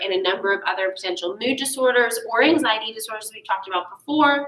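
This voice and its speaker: A woman speaks. There is noticeable background noise. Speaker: psychology lecturer. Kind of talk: recorded lecture. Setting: recorded remotely for class. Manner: fast.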